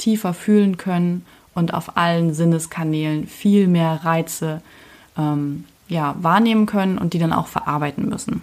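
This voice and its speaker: This woman has an ordinary speaking voice, fairly low in pitch, with ordinary pitch variation at a moderate pace on a very clean recording with a silent background. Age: 20s. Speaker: podcast host. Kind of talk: personal monologue. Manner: casual, with filler sounds.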